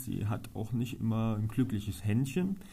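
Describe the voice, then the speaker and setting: Recorded with audible room echo, a man speaks at a medium pitch in a somewhat breathy, dark, mellow tone with ordinary pitch variation. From Germany, Trier. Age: 30s. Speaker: local politician. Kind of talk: interview.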